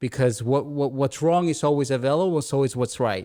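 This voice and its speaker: Recorded very cleanly against a silent background, a man with a Spanish accent talks at a fairly high pitch with ordinary pitch variation. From Dominican Republic. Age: 20s. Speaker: real estate entrepreneur. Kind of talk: podcast interview. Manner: repetitive, halting.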